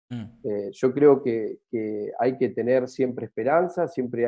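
Against a quiet background, a man's fairly slow speech shows ordinary pitch variation. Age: 40s. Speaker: travel business owner; interview guest. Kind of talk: interview. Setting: at home, remote. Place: home room. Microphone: video call.

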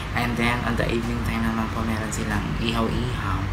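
A man talks at a moderate pace while music plays in the background. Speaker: vlogger promoting a restaurant. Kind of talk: casual vlog chat. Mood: upbeat promotional. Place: home room. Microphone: phone near.

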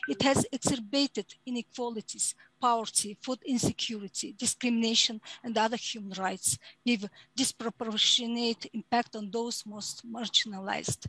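At a moderate pace, a woman with a Mongolian accent and a fairly high pitch speaks with fairly even intonation, the sound dry with no echo and the background quiet. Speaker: human rights advocate; panelist. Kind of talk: conference presentation; prepared conference statement. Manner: halting. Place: home room. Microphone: headset.

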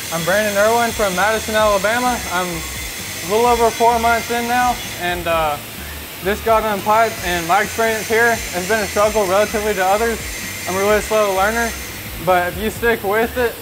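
A man's high-pitched voice at a moderate pace, fairly even in intonation, amid noticeable background noise. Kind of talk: interview answer. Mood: earnest, grateful. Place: workshop. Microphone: lapel.

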